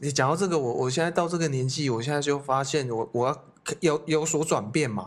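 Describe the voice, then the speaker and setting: An unremarkable speaking voice, a man's, fairly high in pitch with ordinary pitch variation. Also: fairly quick pace. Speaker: youth hostel owner, podcast co-host. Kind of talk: casual chat.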